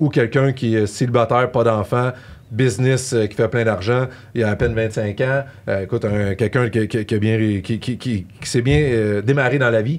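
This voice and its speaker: A man speaks with a Quebec accent at a medium pitch. His intonation is fairly even. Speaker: tax specialist. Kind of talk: podcast discussion. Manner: fast; hesitant, many fillers.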